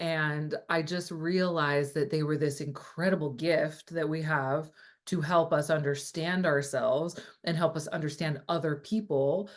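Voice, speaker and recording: Animated tone at a fairly slow pace over a quiet background. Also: woman. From California. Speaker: astrologer and coach. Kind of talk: casual interview chat.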